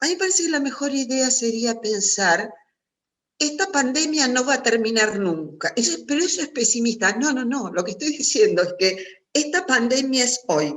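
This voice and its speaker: High, very widely swinging pitch from a woman, delivered at a moderate pace. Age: 60s. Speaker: psychologist and writer. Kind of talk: talk at a virtual writers' meeting.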